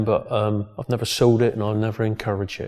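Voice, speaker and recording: A man with a West Country accent speaks at a fairly quick pace in a medium pitch, his intonation flat and monotone. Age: 60s. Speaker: gym owner and strongman. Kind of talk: documentary interview. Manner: halting.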